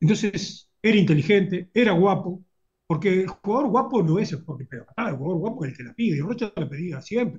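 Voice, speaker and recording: His intonation stays lively throughout. This man's high voice runs at a fairly quick pace. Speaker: football fan and YouTube commentator. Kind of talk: casual interview chat.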